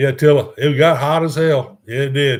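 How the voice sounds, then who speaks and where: A somewhat breathy man with a Texan accent, at a moderate pace. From Houston, Texas. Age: 60s. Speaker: cruise vlogger. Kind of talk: live stream chat. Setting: live stream. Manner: halting.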